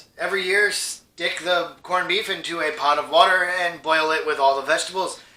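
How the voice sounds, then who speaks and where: A man's high-pitched voice at a moderate pace, with noticeable background noise and audible room echo. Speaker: cooking youtuber. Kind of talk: cooking tutorial. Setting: home kitchen. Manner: casual, conversational; loud over sizzle.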